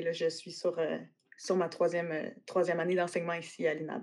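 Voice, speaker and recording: The speaker talks at a moderate pace in a Quebec accent. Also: woman. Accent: Québécois French. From Quebec City. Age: 30s. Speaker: agriculture teacher. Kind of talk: interview. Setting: online call.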